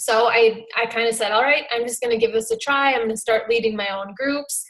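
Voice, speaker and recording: Her pitch fairly high, a woman with a Minnesotan accent speaks with fairly even intonation. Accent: Minnesota. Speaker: fitness coach. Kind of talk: talk on a team video call.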